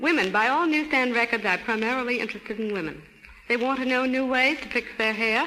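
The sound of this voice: A woman's bright, sharp voice at a fairly quick pace.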